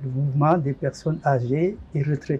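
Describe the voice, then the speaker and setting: A man speaks in a fairly high, somewhat breathy voice with a dark, mellow tone. His intonation is fairly even. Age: 70s. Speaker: retired parish lay association leader. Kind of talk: interview. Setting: studio.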